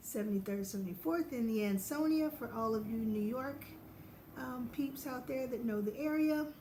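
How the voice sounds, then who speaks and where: A woman speaks over noticeable background noise. The room echo is audible. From US South, Knoxville, Tennessee. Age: 40s. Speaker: podiatrist and vlogger. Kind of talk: casual vlog.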